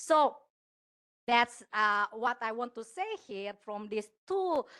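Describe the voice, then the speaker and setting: Loud and delivered at a fairly slow pace, this voice moves through very wide pitch swings, with a dry, close sound with no echo and a quiet background. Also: woman. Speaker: law academic. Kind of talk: conference presentation. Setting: conference panel. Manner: hesitant, many fillers.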